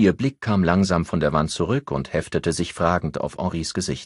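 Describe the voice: A man's low voice with a slightly husky edge, a moderate pace and ordinary pitch variation, in a very clean recording with a silent background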